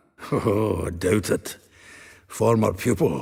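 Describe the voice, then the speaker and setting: A raspy, put-on character voice from a man, fairly low in pitch, at a fairly slow pace. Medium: video game. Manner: wry, chuckling, blunt.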